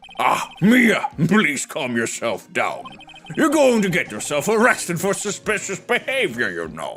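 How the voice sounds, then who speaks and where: A man's put-on character voice, pompous in tone, high-pitched, with very wide pitch swings at a moderate pace. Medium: virtual streamer. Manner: fussy, pompous.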